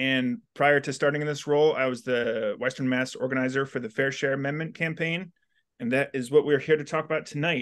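Against a quiet background, a man talks at a fairly quick pace with a fairly high pitch and ordinary pitch variation. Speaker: union organizer. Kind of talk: panel moderation. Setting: video call. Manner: halting, many fillers. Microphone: video call.

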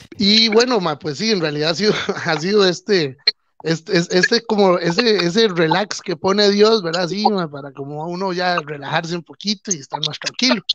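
With a Costa Rican accent, a man speaks at a moderate pace and a high pitch with ordinary pitch variation, the sound dry with no echo and background noise noticeable. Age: 30s. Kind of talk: casual chat. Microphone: video call.

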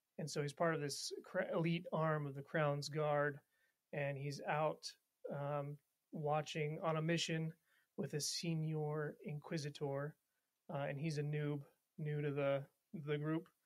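Speaking at a fairly slow pace with long, frequent pauses, a man uses a fairly high pitch and an American accent. His intonation stays monotone and flat. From Montana, US. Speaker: military officer, D&D player. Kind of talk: casual chat with role-play.

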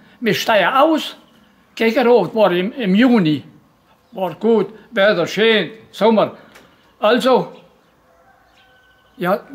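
The man's voice sits high in pitch and shows ordinary pitch variation. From Banat, Romania (Banat Swabian village). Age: 80s+. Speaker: former forced labourer in Soviet camps. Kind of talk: oral history interview, storytelling. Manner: detailed, gallows humour. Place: garden. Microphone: phone near.

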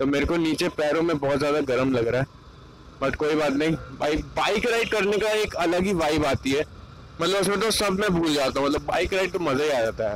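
A man with lively intonation talks at a moderate pace while light background noise sits behind him. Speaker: moto vlogger. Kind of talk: casual vlog chat. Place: motorbike. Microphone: lapel.

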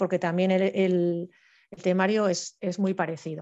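Over a quiet background, a woman speaks in a medium pitch with a dark, mellow tone. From Spain (Madrid). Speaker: forestry engineer, civil servant; presenter. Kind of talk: online presentation talk. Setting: video call. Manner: fast. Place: home room. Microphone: headset.

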